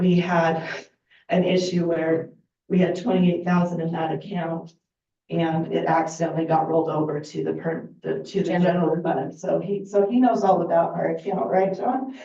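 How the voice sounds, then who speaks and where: A woman speaks at a moderate pace in a fairly low pitch with a dark, mellow tone and vocal fry. Her intonation is fairly even, and audible room echo surrounds the voice. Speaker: volunteer bookkeeper for a heritage group. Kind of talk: public comment at council meeting. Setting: city council meeting.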